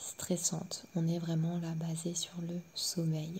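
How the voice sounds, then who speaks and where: A soft-spoken, somewhat breathy woman whispering at a very slow pace. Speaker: sophrologist. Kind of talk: pre-session explanation to listener. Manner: near-whispered, soft.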